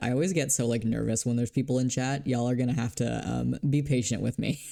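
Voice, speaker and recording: A man's dark, mellow voice at medium pitch and a fairly quick pace, in a very clean recording with a silent background. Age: 20s. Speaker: streamer. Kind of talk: casual chat. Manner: animated.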